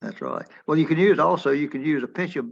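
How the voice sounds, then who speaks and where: A man speaks at a very fast pace in a fairly high pitch. Vocal fry runs through his voice. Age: 80s+. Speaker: retired physician, webinar attendee. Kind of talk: casual discussion in webinar Q&A. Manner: halting, repetitive.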